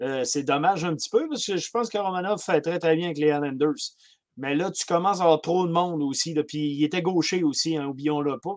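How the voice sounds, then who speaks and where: Fairly quick speech in a Quebec accent, with ordinary pitch variation. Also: man, fairly high pitch for a man. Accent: Québécois French. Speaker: hockey podcast co-panelist. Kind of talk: casual chat.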